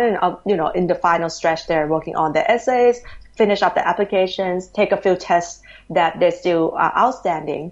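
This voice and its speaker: The speaker has a Thai accent. Pitch variation is ordinary and the pace moderate. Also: woman. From Thailand, Bangkok. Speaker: education company executive. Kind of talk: interview. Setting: remote call.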